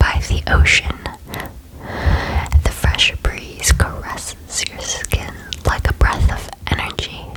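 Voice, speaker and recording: A woman whispers very slowly while noticeable background noise carries on behind her. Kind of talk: ASMR whisper video. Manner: whispered, soft, relaxing.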